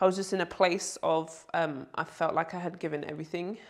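At a moderate pace, a woman speaks in a London accent with monotone, flat intonation against a quiet background. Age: 30s. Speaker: basketball player and commentator; commentator. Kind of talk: interview answer. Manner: casual, light-hearted. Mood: relaxed, reflective. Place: home room.

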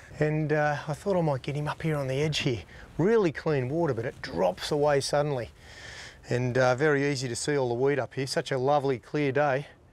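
A man speaks at a fairly quick pace with ordinary pitch variation. The sound is dry with no echo. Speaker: fishing show host. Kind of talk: tutorial. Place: boat.

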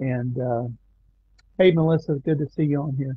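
With a fairly high pitch and fairly even intonation, a man speaks in a dry sound with no echo against a quiet background. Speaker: Bible study leader. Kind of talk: Bible study discussion. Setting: online video stream. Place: home room. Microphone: video call.

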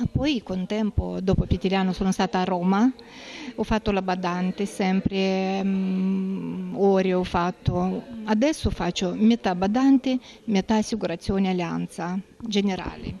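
A woman talks at a fairly slow pace, with light background noise behind her. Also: fairly even intonation. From Moldova. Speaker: home caregiver. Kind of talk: interview. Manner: halting. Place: office. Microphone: handheld.

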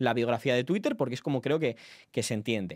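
The background is quiet. The delivery is animated, with lively intonation. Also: man. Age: 20s. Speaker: political journalist and streamer; streamer, political commentator. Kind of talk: live stream commentary. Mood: indignant, defensive. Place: home room. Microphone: studio mic.

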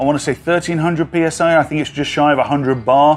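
A man at a moderate pace, over light background noise. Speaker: dive instructor. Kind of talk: tutorial. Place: garden.

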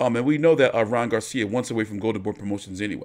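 A man with a medium pitch speaks very fast in an animated tone, his pitch varying in an ordinary way. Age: 40s. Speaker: boxing commentary youtuber. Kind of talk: fight reaction commentary. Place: home room.

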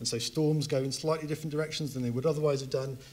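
The man's voice is somewhat breathy. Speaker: speaker. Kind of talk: lecture. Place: hall. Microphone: handheld.

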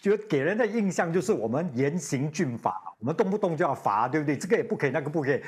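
A man talks very fast at a fairly high pitch, somewhat breathy and with very wide pitch swings, against a quiet background. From Singapore. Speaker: radio host. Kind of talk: TV panel chat. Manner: repeats words, halting starts; animated, laughing. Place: studio. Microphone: lapel.

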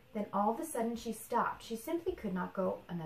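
Someone reads out loud in a natural voice.

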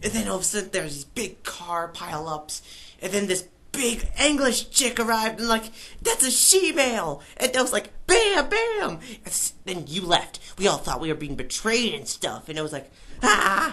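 Over light background noise, a woman speaks at a medium pitch in an excited tone. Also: moderate pace. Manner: fast, rambling, excited, with sound effects.

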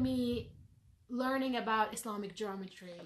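A woman talks at a fairly slow pace with ordinary pitch variation. Her tone is bright and sharp. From Morocco. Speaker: designer and researcher; podcast guest. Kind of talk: casual chat. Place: home room.

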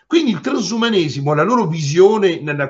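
Against a quiet background, a man speaks at a high pitch with very wide pitch swings. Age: 60s. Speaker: lawyer. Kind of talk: interview. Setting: remote video call. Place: office. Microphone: webcam.

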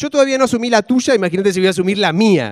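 Against a quiet background, a man talks at a fairly quick pace in a Rioplatense accent. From Argentina. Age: 40s. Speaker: stand-up comedian. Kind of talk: stand-up comedy set with audience banter. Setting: stage with audience. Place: stage. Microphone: handheld.

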